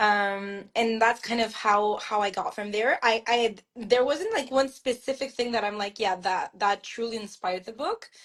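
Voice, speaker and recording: Speaking with a French Canadian accent, a woman talks at a moderate pace in a fairly high pitch with ordinary pitch variation, hardly any pauses, and a quiet background. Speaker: author. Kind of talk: interview. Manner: hesitant, many fillers and restarts.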